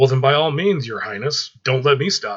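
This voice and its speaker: A man puts on a character voice, pitched in his medium range and delivered at a moderate pace. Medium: read story.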